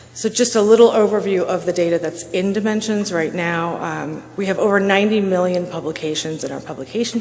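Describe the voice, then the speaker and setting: Soft-spoken with fairly even intonation, a woman is heard amid audible room echo and noticeable background noise. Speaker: conference speaker. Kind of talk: conference presentation.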